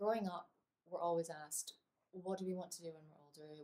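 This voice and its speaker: A woman with a fairly low pitch speaks at a fairly quick pace in a somewhat breathy voice. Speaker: associate producer and performer. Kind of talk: personal testimonial talk to camera. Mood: thoughtful, earnest. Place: home room. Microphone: webcam.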